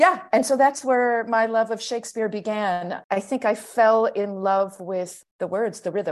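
A woman with an American accent and an unremarkable speaking voice talks at a fairly slow pace in a fairly high pitch, with ordinary pitch variation over a quiet background. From US, Pittsburgh. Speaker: stage actor. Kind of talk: interview.

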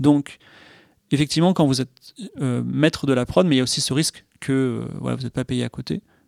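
Here a man with an ordinary speaking voice talks at a fairly quick pace with ordinary pitch variation. The sound is dry and close, with no echo. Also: medium pitch for a man. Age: 40s. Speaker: video game and TV screenwriter. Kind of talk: casual chat.

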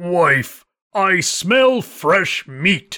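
At a middle pitch, someone performs in a put-on character voice.

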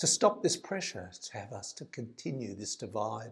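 With vocal fry in his voice, a man speaks at a moderate pace. His pitch swings very widely. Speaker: poet. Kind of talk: poet spoken word, rhymed and rhythmic, earnest delivery. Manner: earnest, measured, declamatory with rhythmic emphasis on the rhymes.

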